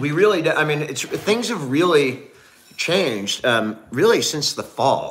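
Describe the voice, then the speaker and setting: A fairly high-pitched man with a Californian accent, very wide pitch swings and a fairly slow pace. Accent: Californian American English. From Northern California. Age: 50s. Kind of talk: casual livestream chat. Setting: home livestream. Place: home room. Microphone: phone near.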